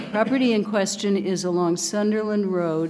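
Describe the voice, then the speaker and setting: At a fairly slow pace, a woman with an ordinary speaking voice talks with fairly even intonation. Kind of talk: meeting presentation. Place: hall. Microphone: podium.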